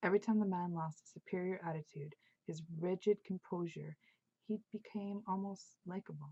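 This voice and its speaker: Soft-spoken and somewhat breathy, a woman speaks at medium pitch in a dark, mellow tone with fairly even intonation, the sound dry and close with no echo. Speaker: author. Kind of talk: audiobook-style reading of own novel.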